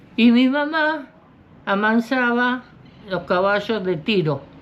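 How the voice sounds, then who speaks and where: A woman speaks with lively intonation. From Argentina, Buenos Aires province countryside. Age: 80s+. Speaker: horse tamer and rural worker. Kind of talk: interview answer.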